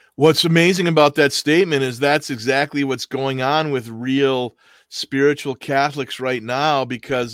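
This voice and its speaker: An ordinary speaking voice, a man's medium-pitched delivery in an American accent with fairly even intonation and a dry, close sound with no echo. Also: very clean recording, silent background. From US Midwest, Milwaukee. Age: 60s. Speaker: podcast host. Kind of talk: casual chat.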